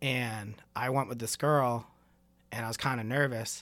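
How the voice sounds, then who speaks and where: With an American accent and an ordinary speaking voice, a man talks at a medium pitch with fairly even intonation. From Maine, US. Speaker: drummer. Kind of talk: casual chat.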